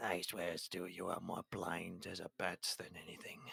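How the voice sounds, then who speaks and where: Whispering in a raspy, put-on character voice, a man speaks. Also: moderate pace. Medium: actual play. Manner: exasperated, bickering.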